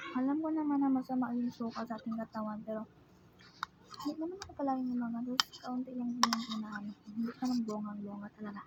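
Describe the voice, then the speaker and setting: Over noticeable background noise, a soft-spoken woman talks at a very fast pace in a high pitch with ordinary pitch variation. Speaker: food vlogger. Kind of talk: mukbang eating vlog. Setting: upstairs at home. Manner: casual with eating pauses. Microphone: voice may be too quiet.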